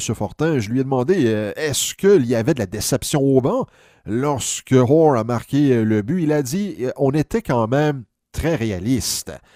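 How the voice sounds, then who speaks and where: In a very clean, dry and close recording with no echo and a silent background, a man speaks with a dark, mellow tone, medium pitch and lively intonation. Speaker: sports history commentator. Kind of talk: casual spoken recap of an interview. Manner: hesitant, many filler sounds.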